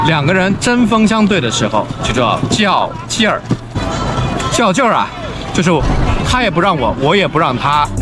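A man talks at a moderate pace. Behind him, clear music plays. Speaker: Mandarin teacher. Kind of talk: language lesson explanation. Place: open country. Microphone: phone near.

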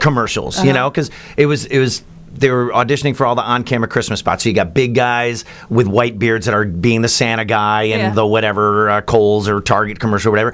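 Over light background noise, a man speaks very fast with fairly even intonation. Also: very even loudness. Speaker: voice actor guest. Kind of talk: interview answer. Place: studio. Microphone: studio mic.

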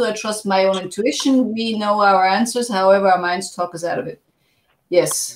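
A woman talks at a moderate pace with ordinary pitch variation. Audible room echo surrounds her voice. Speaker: show host. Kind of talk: casual interview chat. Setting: video call. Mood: engaged, reflective. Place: home room.

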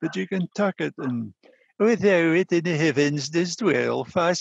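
A man in a northeast Scottish accent speaks at a fairly slow pace with very wide pitch swings. The sound is dry with no echo, and the background is quiet. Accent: Doric Scots. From North-East Scotland. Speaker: panelist. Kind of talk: conversation. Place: home room. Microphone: headset.

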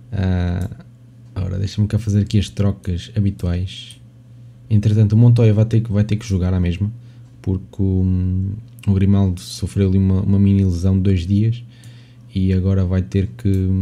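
Speaking at a moderate pace with a European Portuguese accent, a man uses a dark, mellow tone and fairly even intonation, with long, frequent pauses. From Portugal. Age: 20s. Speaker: gaming YouTuber. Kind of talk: gameplay commentary.

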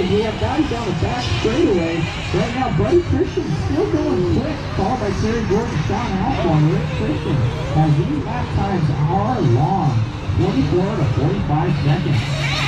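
Crowd noise carries in the background. Over it, a man speaks at a fairly slow pace. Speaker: race announcer. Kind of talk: commentary. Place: open country.

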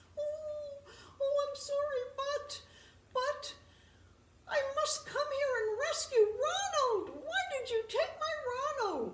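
Using a cartoonish character voice pitched extremely high, a woman speaks at a fairly slow pace with long, frequent pauses. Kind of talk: children's puppet show storytelling. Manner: flustered, polite.

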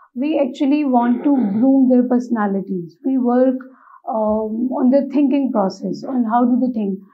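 Music plays in the background as a woman speaks at a moderate pace. Her pitch is high, with ordinary variation. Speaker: interview candidate. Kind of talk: interview answer. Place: studio.

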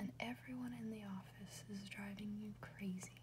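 A soft-spoken woman whispers at a moderate pace. Noticeable background noise can be heard. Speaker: ASMR reader. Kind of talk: ASMR whisper book reading. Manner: whispered, soft-spoken.

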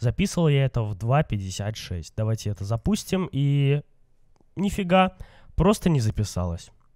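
A man's dark, mellow voice at a moderate pace, with very wide pitch swings and a dry, close sound with no echo. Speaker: gaming youtuber. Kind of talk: let's play commentary. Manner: casual, chatty.

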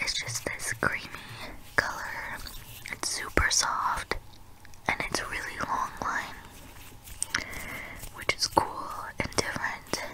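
Someone whispers at a very slow pace with long, frequent pauses. Noticeable background noise is present. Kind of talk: ASMR try-on haul voiceover. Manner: whispered.

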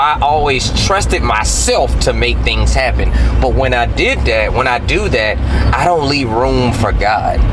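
A man talks at a fairly slow pace. Noticeable background noise runs underneath. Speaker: host. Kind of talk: casual conversation. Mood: earnest, reflective. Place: car.

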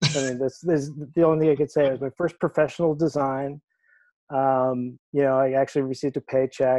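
A man with an American accent speaks at a fairly quick pace in a dark, mellow tone, his monotone, flat intonation set against a quiet background and a dry sound with no echo. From Maine, US. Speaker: theatrical lighting designer. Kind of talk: interview. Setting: video call. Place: home room. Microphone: earbuds.

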